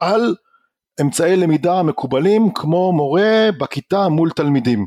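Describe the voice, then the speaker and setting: Recorded dry and close with no echo on a very clean track with a silent background, a man with a high pitch speaks at a very slow pace with lively intonation. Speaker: learning technology researcher and entrepreneur. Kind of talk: interview. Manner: formal.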